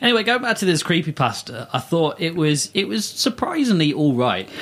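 A man speaks in a high voice with very wide pitch swings, very even loudness and a playful tone. His pace is moderate, and there is noticeable background noise. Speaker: co-host. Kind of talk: casual chat, joking. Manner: joking, playful.

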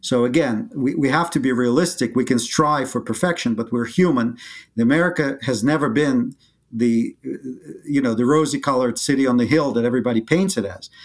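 A man with a Russian accent speaks at a fairly quick pace in a medium pitch, with ordinary pitch variation, on a very clean recording with a silent background. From Soviet Union (Leningrad). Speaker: gold bullion company founder. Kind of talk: interview.

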